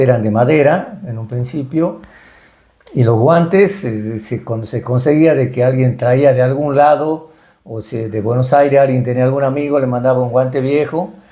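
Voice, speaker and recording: A man's dark, mellow voice at medium pitch, with ordinary pitch variation and a fairly slow pace. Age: 70s. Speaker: retired baseball and hockey player and coach. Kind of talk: interview. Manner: halting, many fillers.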